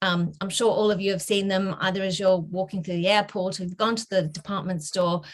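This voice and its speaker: The speaker is a woman with an Australian accent. Her pitch sits in the medium range. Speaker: bank director. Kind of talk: career talk. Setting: video call. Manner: hesitant, many fillers.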